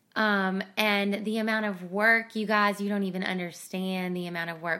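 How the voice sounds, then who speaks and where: In a very clean recording with a silent background, a woman speaks at a medium pitch and a moderate pace, her bright, sharp tone carried on fairly even intonation. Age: 30s. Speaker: podcast host and dental student. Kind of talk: casual faith chat. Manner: hesitant, many fillers.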